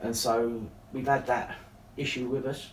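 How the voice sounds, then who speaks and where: The man's pitch is medium and his intonation monotone and flat. He speaks at a fairly slow pace. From East London (Dagenham). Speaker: town mayor and local councillor. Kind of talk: casual interview. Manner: hesitant, many fillers.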